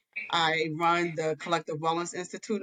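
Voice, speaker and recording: Here a woman talks with a fairly low pitch. Her pace is moderate. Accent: slight New York. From New York City. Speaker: marriage counselor. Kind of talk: podcast interview.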